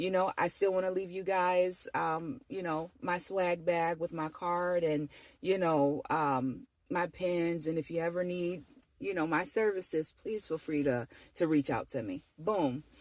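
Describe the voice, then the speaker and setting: Speaking at a fairly slow pace, a woman uses a fairly low pitch with ordinary pitch variation, captured in a very clean recording with a silent background. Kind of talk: casual testimony vlog.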